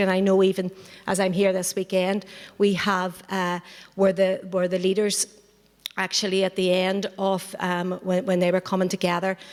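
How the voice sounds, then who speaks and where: At a moderate pace, a woman speaks at a medium pitch with monotone, flat intonation. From Northern Ireland, Belfast. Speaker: political party member, activist. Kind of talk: panel talk. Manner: halting, many fillers and repetitions.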